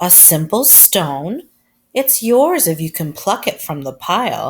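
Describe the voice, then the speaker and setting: In a very clean recording with a silent background, a female-sounding put-on character voice at a middle pitch speaks at a fairly slow pace. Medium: read story.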